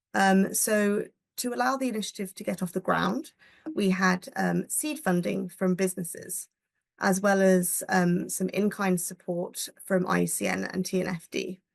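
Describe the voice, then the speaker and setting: A woman's medium-pitched voice with ordinary pitch variation, against a quiet background. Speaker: conservation NGO staff presenter. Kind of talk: webinar presentation. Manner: hesitant with many fillers; fast.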